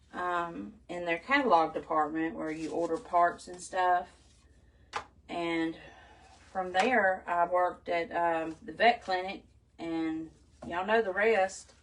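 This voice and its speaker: Over music in the background, a woman with a Southern US accent speaks at a very slow pace with long, frequent pauses, big swings in loudness and ordinary pitch variation. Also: fairly low pitch for a woman. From US South. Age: 50s. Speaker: crafter. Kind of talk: live stream crafting chat. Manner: chatty.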